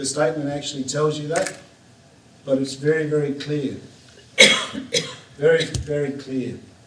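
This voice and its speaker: A man's fairly high-pitched voice, flat and monotone, at a moderate pace over noticeable background noise. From south-west Western Australia. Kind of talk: conference talk.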